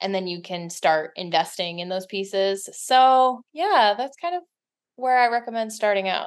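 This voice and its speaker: A woman uses a normal speaking voice at a medium pitch, speaking at a moderate pace with ordinary pitch variation. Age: 30s. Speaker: author. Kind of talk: casual chat.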